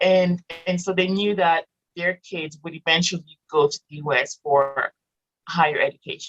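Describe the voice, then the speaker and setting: Someone speaks with a French accent at a moderate pace and fairly even intonation. The sound is dry and close, with no echo. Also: woman, fairly low pitch for a woman. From Morocco. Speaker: author and entrepreneur with a PhD. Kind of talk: casual interview.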